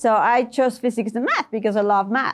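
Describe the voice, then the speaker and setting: Against a quiet background, a woman with a Spanish accent talks at a moderate pace in a fairly high voice with fairly even intonation. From Ecuador. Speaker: tech executive and engineer. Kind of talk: podcast interview.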